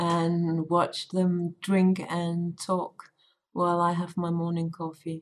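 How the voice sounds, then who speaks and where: She speaks in a Danish accent. Her pace is very slow. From Denmark. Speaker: tailor and game developer. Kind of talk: casual chat.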